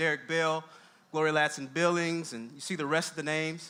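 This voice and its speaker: A man's bright, sharp tone and fairly high pitch come through at a fairly quick pace. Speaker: college dean and education scholar giving a talk. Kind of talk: lecture-style talk with slides. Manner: fast.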